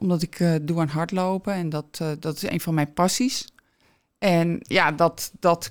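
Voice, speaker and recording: A woman with a plain, everyday voice speaks at a fairly slow pace in a fairly low pitch with fairly even intonation, recorded dry and close with no echo, very clean and against a silent background. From Alkmaar, North Holland, Netherlands. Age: 50s. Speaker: shop owner, entrepreneur. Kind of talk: interview.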